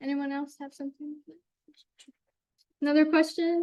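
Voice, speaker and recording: A woman's dark, mellow voice with an American accent, dry and close with no echo. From Jamestown, western New York. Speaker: college forestry intern. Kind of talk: Q&A after presentation. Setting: club meeting, also streamed on Zoom.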